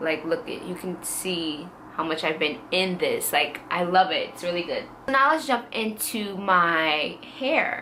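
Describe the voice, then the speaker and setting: Amid audible room echo, a woman talks fairly slowly at a medium pitch with lively intonation. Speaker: beauty vlogger. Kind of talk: casual product review vlog.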